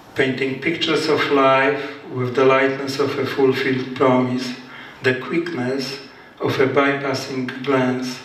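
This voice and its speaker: A man with a Polish accent speaks slowly, at a medium pitch, in a monotone, flat intonation. Room echo is audible, and background noise is noticeable. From Poland. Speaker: poet. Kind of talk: casual storytelling; poetry reading. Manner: halting.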